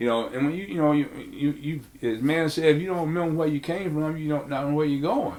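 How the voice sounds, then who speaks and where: In a room with audible echo, a man with a fairly high pitch speaks at a fairly quick pace with ordinary pitch variation. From Auburn, Alabama. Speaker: pastor. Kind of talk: oral history interview.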